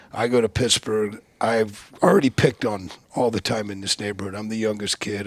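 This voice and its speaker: This man has an American accent, and noticeable background noise runs under his speech. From West Virginia (Appalachia, near Charleston). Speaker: former Navy SEAL. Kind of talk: podcast interview, life story. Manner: repeats words when starting sentences.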